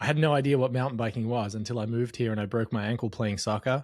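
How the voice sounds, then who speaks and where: The pace is very fast. A man talks at a medium pitch. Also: very clean recording, silent background. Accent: Australian. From Australia. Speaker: marketing data expert. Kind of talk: interview.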